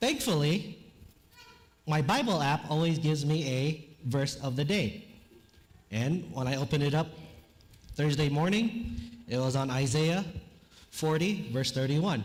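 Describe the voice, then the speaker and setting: Fairly high in pitch, a man speaks at a fairly slow pace with long, frequent pauses and lively intonation. His loudness is very even, and audible room echo surrounds him. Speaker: chaplain, guest preacher. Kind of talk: sermon. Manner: casual, conversational.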